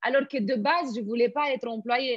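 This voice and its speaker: A woman with a Romanian accent sounds enthusiastic and energetic. She keeps a moderate pace with ordinary pitch variation. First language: Romanian (speaking French). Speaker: network marketing entrepreneur. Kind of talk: interview. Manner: enthusiastic, energetic.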